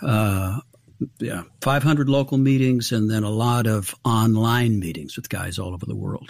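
Here is a man with a normal speaking voice at a medium pitch. He talks at a moderate pace with ordinary pitch variation. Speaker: recovery ministry founder. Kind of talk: interview.

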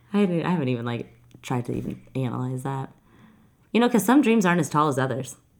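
A woman with an American accent speaks at a very fast pace in a very deep, low pitch, with vocal fry. Her intonation is lively. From Texas. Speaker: podcast host and events business founder. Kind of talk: casual chat. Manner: loud.

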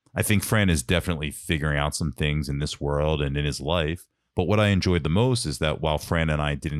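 A man with a very deep, low pitch at a very fast pace, the sound dry and close with no echo. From Philadelphia suburbs. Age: 30s. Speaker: podcast host. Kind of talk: scripted narration; casual chat. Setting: studio.

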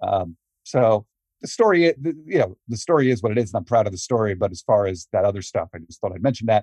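A man with a medium pitch talks at a very fast pace, his dark, mellow tone somewhat breathy, with lively intonation and big swings in loudness, in a dry, close sound with no echo. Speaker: wrestling journalist guest. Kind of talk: interview answers.

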